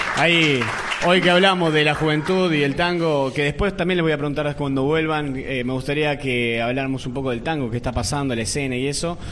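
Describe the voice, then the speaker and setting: A man with a fairly high pitch talks at a fairly quick pace with ordinary pitch variation, over noticeable background noise. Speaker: radio show host. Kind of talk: live interview show with audience. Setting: stage with audience.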